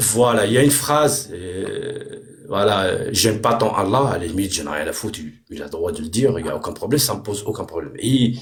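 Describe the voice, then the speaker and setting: A man speaks at a fairly quick pace with a medium pitch, lively intonation and an animated tone. His loudness swings widely, and audible room echo surrounds him. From Morocco. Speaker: debate participant. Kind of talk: heated debate. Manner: halting, many repetitions and fillers.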